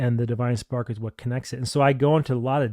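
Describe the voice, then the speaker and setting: A man at medium pitch, very fast, with fairly even intonation and a dark, mellow tone, in a dry, close sound with no echo on a very clean recording with a silent background. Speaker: tarot reader and deck reviewer. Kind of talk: product review. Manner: casual, off the cuff.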